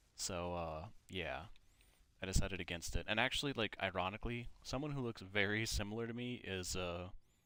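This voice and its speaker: A fairly low-pitched man with an American accent, bright and sharp in tone, at a fairly quick pace in a very clean recording with a silent background. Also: ordinary pitch variation. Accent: Minnesota accent, noticed by others. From Minnesota, US. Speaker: gaming YouTuber. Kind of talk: casual chat while playing a game. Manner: casual, many fillers.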